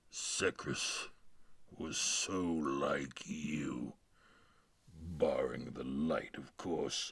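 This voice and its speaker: In a cartoonish character voice, a man growls at a very deep, low pitch. He talks at a very slow pace, with long, frequent pauses. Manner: grandiose, patronizing.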